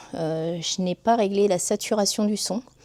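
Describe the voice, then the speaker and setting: The woman's intonation is fairly even. She talks at a very slow pace. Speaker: beekeeper. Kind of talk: casual vlog. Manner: hesitant, many fillers.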